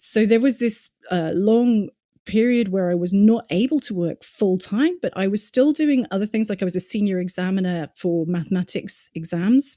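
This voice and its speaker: Recorded dry and close with no echo, a woman with a British accent speaks in a dark, mellow tone with ordinary pitch variation. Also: medium pitch for a woman, moderate pace. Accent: British, says listeners can tell. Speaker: digital marketing consultant. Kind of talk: podcast interview. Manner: conversational, many fillers.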